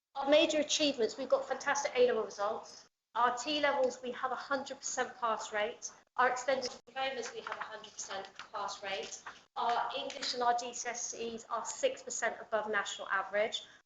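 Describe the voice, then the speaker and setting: Audible room echo surrounds a woman who speaks fairly quickly at a high pitch with ordinary pitch variation. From Somerset, England. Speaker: college higher education lead. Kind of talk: presentation to council meeting. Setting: town hall meeting with audience. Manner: fast.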